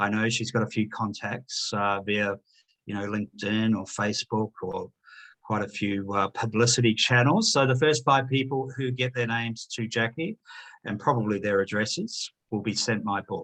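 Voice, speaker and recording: A man with a New Zealand accent talks at a moderate pace and medium pitch with fairly even intonation, the sound dry and close with no echo. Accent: New Zealand twang. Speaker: author and chartered accountant. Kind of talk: interview. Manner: hesitant, many fillers.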